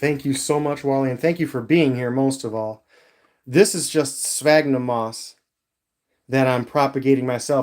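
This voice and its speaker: The intonation here is fairly even. This man's voice rests at a medium pitch. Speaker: isopod keeper livestreamer. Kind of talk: casual livestream chat.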